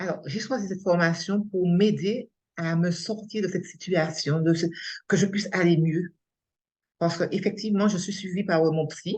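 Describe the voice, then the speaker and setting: Fairly even in intonation, a woman speaks at a medium pitch in a somewhat breathy voice. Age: 60s. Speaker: coaching trainee, unemployed after burnout. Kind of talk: testimony interview. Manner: halting.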